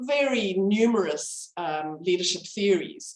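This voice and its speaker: At a fairly slow pace, a woman speaks in a medium pitch. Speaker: medical educator. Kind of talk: lecture. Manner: halting.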